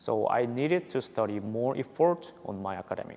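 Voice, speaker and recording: A man speaks with a Korean accent at a medium pitch. His intonation is lively. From South Korea. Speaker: university student. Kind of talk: interview testimonial. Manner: halting, with repetitions and fillers.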